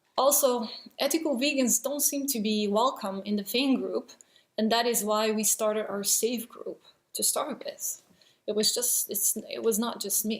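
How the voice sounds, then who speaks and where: A woman speaks at a moderate pace with a non-native accent. Her fairly high voice shows ordinary pitch variation. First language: not English. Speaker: vegan video blogger. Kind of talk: response video monologue. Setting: at home, child sleeping nearby. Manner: hesitant, many fillers.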